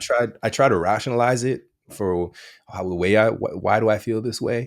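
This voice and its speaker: A medium-pitched man at a moderate pace, with fairly even intonation. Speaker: content creator.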